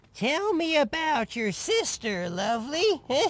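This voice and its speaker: A put-on character voice, high-pitched with very wide pitch swings. The delivery comes at a fairly slow pace. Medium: video game. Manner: giggly, frequent nervous laughter.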